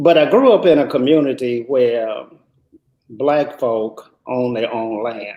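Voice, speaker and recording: Very slowly, a man with an American accent speaks at a medium pitch with ordinary pitch variation. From US South (Mississippi, near Canton). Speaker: businessman. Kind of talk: interview. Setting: live stream.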